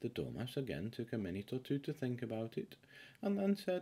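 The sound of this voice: Speaking at a fairly quick pace, a man has a medium pitch and a dark, mellow tone with a slightly husky edge. His pitch swings very widely.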